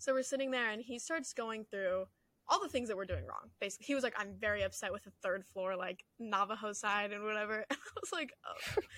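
With an ordinary speaking voice and fairly high pitch, a woman talks at a fairly quick pace with ordinary pitch variation. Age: young. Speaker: college student podcast co-host. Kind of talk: casual chat.

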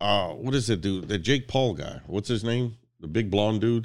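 A man with an American accent and vocal fry at a moderate pace, on a very clean recording with a silent background. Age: 50s. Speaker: podcast guest. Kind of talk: casual chat.

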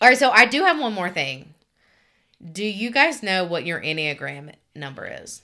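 A woman with a Southern US accent talks with vocal fry and a bright, sharp tone. Her pitch swings very widely, and so does her loudness. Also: medium pitch for a woman, moderate pace, very clean recording, silent background. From Alabama, US South. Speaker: podcast co-host. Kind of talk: casual chat.

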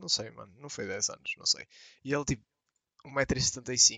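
A man speaks in a European Portuguese accent. His pace is moderate. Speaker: podcast co-host. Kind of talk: casual chat.

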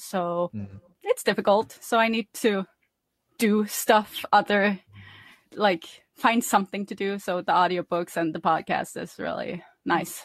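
A woman's medium-pitched voice in a Norwegian accent, dry and close with no echo, over a quiet background. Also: fairly even intonation, fairly slow pace. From Norway. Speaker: podcast host. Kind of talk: casual chat.

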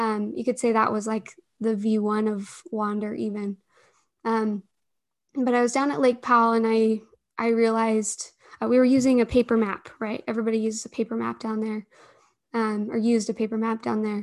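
A woman with a Utah accent, fairly high in pitch, at a fairly quick pace, with monotone, flat intonation and a quiet background. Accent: Utah American English. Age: 20s. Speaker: startup founder and CEO. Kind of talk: interview conversation.

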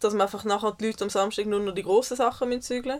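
At a fairly high pitch, a woman speaks with fairly even intonation. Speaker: podcast co-host. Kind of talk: casual chat. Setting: caravan studio.

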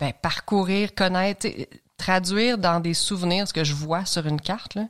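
A woman with a Quebec accent at a moderate pace, with ordinary pitch variation, on a very clean recording with a silent background. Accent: Québécois French. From Quebec, Lanaudière (L'Assomption). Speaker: long-distance hiker. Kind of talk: interview, casual chat.

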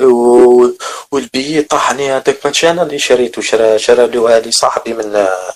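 An ordinary speaking voice holds a very even loudness throughout. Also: man, medium pitch for a man, ordinary pitch variation, moderate pace. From Algeria. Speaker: migrant telling his story. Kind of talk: personal testimony.

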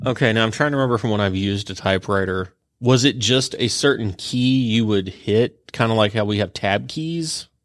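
The man has a normal speaking voice at a medium pitch. He moves at a fairly quick pace with ordinary pitch variation. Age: 30s. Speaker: librarian. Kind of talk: casual chat.

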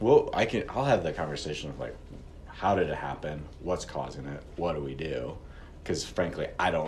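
A man with an American accent at a moderate pace, in audible room echo. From Missouri, St. Louis. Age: 30s. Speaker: restaurant owner. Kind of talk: interview.

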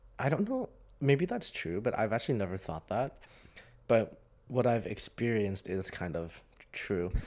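With an American accent, the voice moves at a moderate pace with lively intonation and long, frequent pauses. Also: man, medium pitch for a man. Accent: international, sounds American to some. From Hong Kong. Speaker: graduate student. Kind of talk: casual chat.

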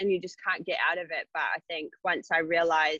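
A woman with a New Zealand accent. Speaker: personal trainer. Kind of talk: casual chat.

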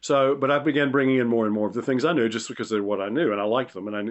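A man with an eastern North Carolina accent, medium in pitch, at a very fast pace with ordinary pitch variation. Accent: Southern US (eastern North Carolina). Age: 70s. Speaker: retired chef. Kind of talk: casual interview chat. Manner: halting, many fillers.

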